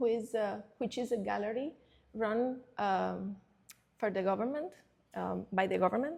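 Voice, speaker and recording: A woman with a Cuban accent speaks at a moderate pace in a fairly high pitch, with vocal fry. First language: Spanish. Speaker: curator. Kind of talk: presentation talk. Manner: halting.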